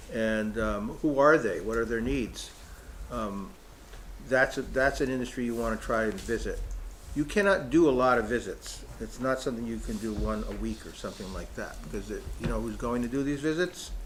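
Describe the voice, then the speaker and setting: A man at a moderate pace, with audible room echo. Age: 60s. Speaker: economic development consultant. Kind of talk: public meeting presentation. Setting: in-person town hall meeting. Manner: halting, many fillers and restarts.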